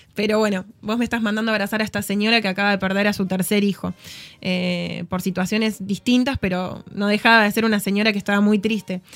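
Music plays behind a woman talking at a very fast pace. Her medium-pitched voice is monotone and flat. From Argentina, Tucumán. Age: 30s. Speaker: podcast guest, volunteer. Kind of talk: casual chat. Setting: studio.

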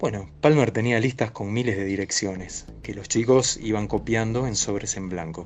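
A man's fairly low voice at a moderate pace, with ordinary pitch variation and hardly any pauses. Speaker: science fiction historian. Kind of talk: interview. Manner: hesitant, with many fillers.

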